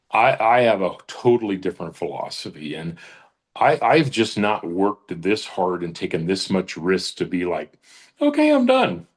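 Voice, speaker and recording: The pitch varies in an ordinary way, and the background stays quiet. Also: man, moderate pace. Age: 60s. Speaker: business leader, author. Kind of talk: interview.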